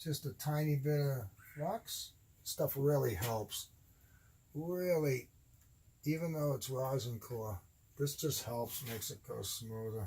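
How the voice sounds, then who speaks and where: A man speaks at a very slow pace with long, frequent pauses. His fairly high, somewhat breathy voice has a dark, mellow tone and lively intonation. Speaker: electronics hobbyist. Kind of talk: tutorial.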